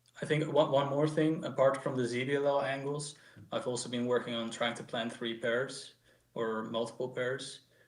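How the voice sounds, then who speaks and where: The speaker has a Dutch accent, a moderate pace and fairly even intonation. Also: man, medium pitch for a man. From Netherlands. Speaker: speedcuber. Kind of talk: post-match interview. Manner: halting.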